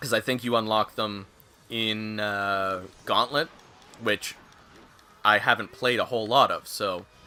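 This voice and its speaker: Music plays in the background as a man speaks at a fairly slow pace. His pitch is fairly low and his intonation fairly even, with long, frequent pauses. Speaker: gaming streamer. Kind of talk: casual live-stream chat. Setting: live stream.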